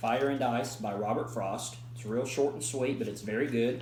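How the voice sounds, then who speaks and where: Ordinary pitch variation, with noticeable background noise and audible room echo. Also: man. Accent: American. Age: 20s. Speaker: college student. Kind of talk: class presentation. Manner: halting.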